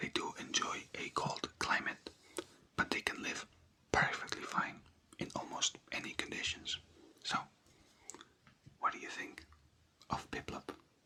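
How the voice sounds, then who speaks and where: Over clearly audible background noise, the whispered speech moves fairly slowly, broken by long pauses that come often. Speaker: ASMR creator. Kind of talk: ASMR roleplay, soft-spoken clinic worker. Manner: soft-spoken, whispered.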